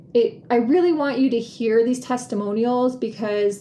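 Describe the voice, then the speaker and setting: Noticeable background noise behind a woman's fairly high voice, fairly slow in pace and ordinary in pitch variation. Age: 50s. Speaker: podcast host and life coach. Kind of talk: solo podcast monologue. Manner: casual, with laughter.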